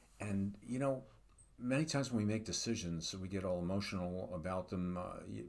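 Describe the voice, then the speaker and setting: At a fairly quick pace, a man talks with a very deep, low pitch and ordinary pitch variation. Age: 70s. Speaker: psychologist. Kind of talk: casual commentary monologue. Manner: halting, many fillers.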